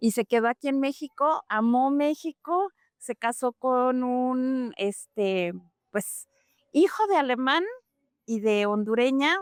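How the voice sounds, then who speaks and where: A woman speaks at a very slow pace in a high pitch. Her intonation is lively, and the sound is dry and close with no echo. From Mexico (Mexico City, then Puebla), German-speaking home. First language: German (speaking Spanish). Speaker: German language teacher. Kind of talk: interview.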